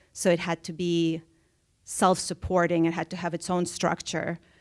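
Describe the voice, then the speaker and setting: Moderately paced speech from a woman with a Russian accent, fairly low in pitch and monotone, flat in intonation, on a very clean recording with a silent background. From Soviet Russia, moved to US at twelve. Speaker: artist. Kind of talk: public conversation. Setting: theater stage with audience.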